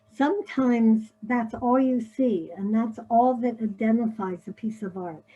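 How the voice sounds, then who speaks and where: Somewhat breathy and fairly high-pitched, a woman with an American accent speaks in a dark, mellow tone at a fairly slow pace with hardly any pauses. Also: ordinary pitch variation. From US Northeast, Philadelphia. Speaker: paper-cut artist. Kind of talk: illustrated presentation. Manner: casual, many filler words.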